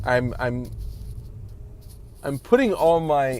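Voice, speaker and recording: Speaking very slowly, a man has a medium pitch. Audible room echo and noticeable background noise surround him. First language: Spanish. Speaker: vlogger. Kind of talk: casual vlog monologue. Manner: halting, many fillers and restarts.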